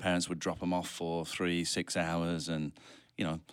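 A man with a very deep, low pitch is heard on a very clean recording against a silent background. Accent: British. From United Kingdom. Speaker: real estate investor. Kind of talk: casual interview chat.

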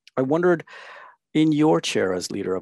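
A man with very wide pitch swings in a dry, close sound with no echo and a quiet background. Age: 40s. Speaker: wealth management interviewer. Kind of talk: interview. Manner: formal.

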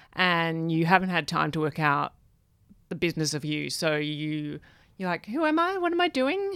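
A woman with an Australian accent, in a very clean recording with a silent background. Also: moderate pace. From Australia, Perth. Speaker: film director and writer. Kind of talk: interview conversation. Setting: radio studio.

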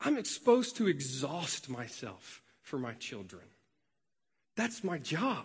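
A man's fairly high voice in an American accent, very slow, with vocal fry, very wide pitch swings, big shifts in loudness and long, frequent pauses. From US South, Memphis, Tennessee. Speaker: pastoral resident. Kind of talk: sermon. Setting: church.

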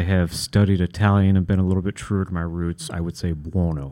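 With an American accent, this voice has a dark, mellow tone and ordinary pitch variation. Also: man. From Kentucky, US. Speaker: architect and preservationist. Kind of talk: interview. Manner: hesitant, many fillers.

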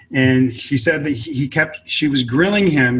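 Speaking at a moderate pace, a man with an American accent sounds somewhat breathy. His pitch is medium, with ordinary pitch variation. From US West Coast, inner-city Los Angeles. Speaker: author and multimedia consultant. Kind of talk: interview conversation.

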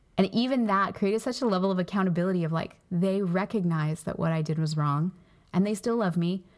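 On a very clean recording with a silent background, a woman with a plain, everyday voice speaks at a fairly quick pace, medium pitch and ordinary pitch variation. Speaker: pastor and podcast co-host. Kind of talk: casual faith-based discussion.

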